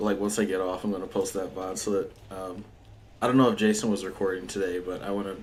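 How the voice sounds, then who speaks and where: A man with a fairly low pitch at a very fast pace, amid audible room echo. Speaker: video game streamer. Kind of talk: casual live stream chat. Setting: live stream while gaming. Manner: loud; animated.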